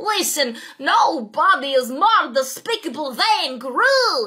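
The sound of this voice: A woman's high-pitched put-on character voice at a fairly slow pace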